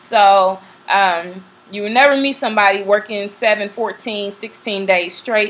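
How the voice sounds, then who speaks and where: A woman with medium pitch talks at a moderate pace in an ordinary speaking voice. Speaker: flight attendant vlogger. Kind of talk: casual vlog talk.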